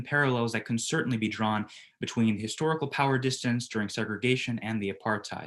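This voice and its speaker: The recording is very clean with a silent background. The speaker talks very fast with an American accent and ordinary pitch variation. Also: man. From United States. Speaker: business student presenter. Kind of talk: group presentation. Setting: virtual presentation.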